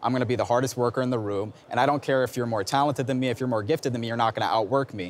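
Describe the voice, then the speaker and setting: Over light background noise, a man with a medium pitch speaks in a confident tone at a very fast pace, with hardly any pauses and fairly even intonation. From Newark, New Jersey; New Jersey. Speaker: Rhodes Scholar; interviewee. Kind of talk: interview. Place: hall. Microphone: lapel.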